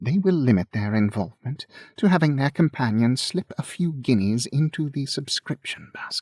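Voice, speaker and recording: In a dry, close sound with no echo, a somewhat breathy man with a fairly high pitch speaks at a moderate pace with lively intonation. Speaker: audiobook narrator. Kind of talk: audiobook narration.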